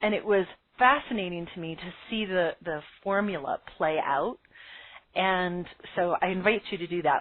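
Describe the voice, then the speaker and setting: At a moderate pace, a woman talks in an ordinary speaking voice with medium pitch and ordinary pitch variation. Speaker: business coach, podcast host. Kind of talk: webinar lecture. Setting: live call with phone lines.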